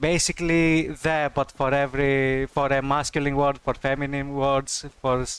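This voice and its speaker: A man speaks at a fairly slow pace in a fairly high pitch, his intonation monotone and flat. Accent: Greek. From Greece. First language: Greek. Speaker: streamer. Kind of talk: casual chat. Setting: live stream.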